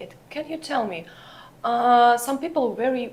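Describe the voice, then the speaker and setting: Her delivery is rather unhurried. The woman's pitch rises and falls in a normal way. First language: not English. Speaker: podcast host. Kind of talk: interview.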